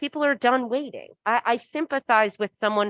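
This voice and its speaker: A high-pitched woman's voice with ordinary pitch variation, in a dry, close sound with no echo. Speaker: city council member. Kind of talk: public meeting remarks.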